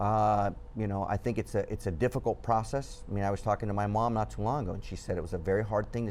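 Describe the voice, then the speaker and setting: This man has a Southern California accent and a fairly low pitch. He talks at a very fast pace. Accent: Southern California American English. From Whittier, Southern California (Cuban family). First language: Spanish. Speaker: journalist, news website founder. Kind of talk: TV interview.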